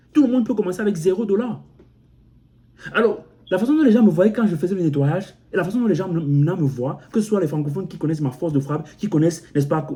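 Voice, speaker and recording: Very fast and lively in intonation, a man with an African accent speaks in a high pitch with a dark, mellow tone. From Cameroon. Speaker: motivational YouTuber. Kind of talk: motivational vlog monologue. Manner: repetitive, halting with frequent self-restarts.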